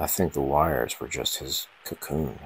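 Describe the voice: A man's extremely low voice at a fairly slow pace, with ordinary pitch variation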